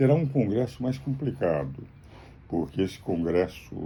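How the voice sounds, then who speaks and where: A man talks at a fairly slow pace with lively intonation. Vocal fry runs through his voice. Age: 80s+. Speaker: jurist and political commentator. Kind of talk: political commentary monologue. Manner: formal.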